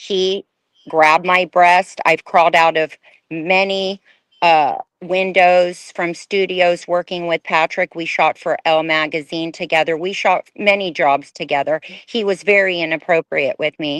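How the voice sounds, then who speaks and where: Delivered at a fairly slow pace in an American accent, the speech stays flat and monotone. The sound is dry and close, with no echo. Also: woman, fairly low pitch for a woman. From Houston, Texas. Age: young. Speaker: former fashion model. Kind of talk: interview testimony.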